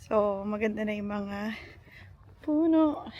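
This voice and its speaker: A woman's somewhat breathy, fairly high voice at a very slow pace. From Philippines. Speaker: vlogger and teacher. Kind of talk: casual vlog. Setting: outdoors.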